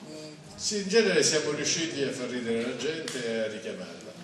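A man speaks at a moderate pace with very wide pitch swings. There is audible room echo and noticeable background noise. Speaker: theatre director and playwright. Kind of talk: press conference presentation. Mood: wry, humorous. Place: hall.

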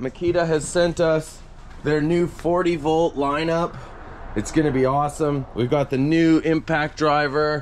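This man speaks at a fairly slow pace, keeping his intonation fairly even. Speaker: diy vlogger. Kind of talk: casual vlog chat. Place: garden. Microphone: phone near.

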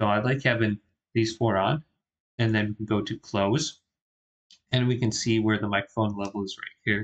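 A man with a fairly low pitch speaks at a moderate pace, his intonation fairly even. Long pauses come often.

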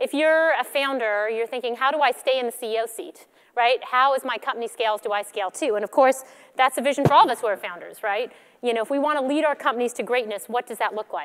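A woman speaks at a very fast pace in a high pitch. Her pitch varies in an ordinary way over a quiet background. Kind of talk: conference keynote talk. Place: stage. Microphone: headset.

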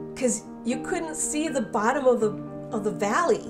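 With clear music in the background, a woman speaks in an American accent at a moderate pace. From Southern California. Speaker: clean air advocate. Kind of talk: personal testimony interview. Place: kitchen. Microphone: lapel.

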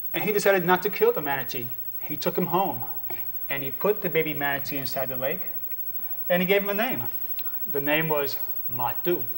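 Music sits in the background as a man talks at a fairly quick pace. He leaves long, frequent pauses. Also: ordinary pitch variation. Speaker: storyteller and motivational speaker. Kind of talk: storytelling, folk tale told to an audience. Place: studio.

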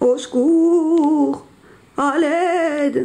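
A put-on character voice with a dark, mellow tone and vocal fry moves at a very slow pace, its intonation fairly even.

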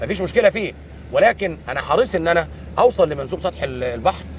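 Here a man speaks at a moderate pace. Light background noise sits under a dry sound with no echo. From Egypt. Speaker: army engineering general. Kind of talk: on-site interview. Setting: outdoors. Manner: halting. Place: waterside.

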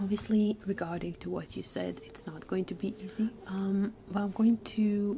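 Soft-spoken and somewhat breathy, a woman speaks at a fairly slow pace with monotone, flat intonation over light background noise. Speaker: streamer doing a therapy-style session. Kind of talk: calm guided exercise, role-play counseling. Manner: soft, hushed ASMR speaking voice. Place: home room.

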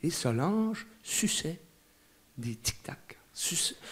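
Very slowly, a man talks in a high pitch that makes very wide swings. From Quebec, Canada. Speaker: storyteller. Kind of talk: stage storytelling performance. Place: stage. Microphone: handheld.

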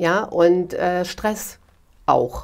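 Against a quiet background, a woman talks with fairly even intonation. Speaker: guest. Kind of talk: interview answer. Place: home room.

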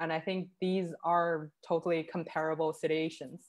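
A woman with a Chinese accent speaks at a fairly low pitch. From Northeast China. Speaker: curator; presenter. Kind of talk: online panel talk. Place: home room. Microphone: video call.

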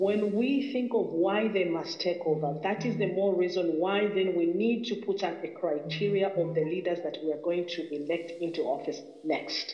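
The room echo is audible as a man talks at a moderate pace in a high voice with ordinary pitch variation. He leaves hardly any pauses. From Zambia. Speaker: caller. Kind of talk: political commentary monologue. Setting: phone call. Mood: earnest, critical. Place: home room. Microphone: phone near.

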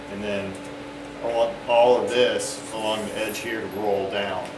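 Loud background noise is heard throughout. A man is talking over it. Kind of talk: shop explanation. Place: workshop. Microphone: camera far.

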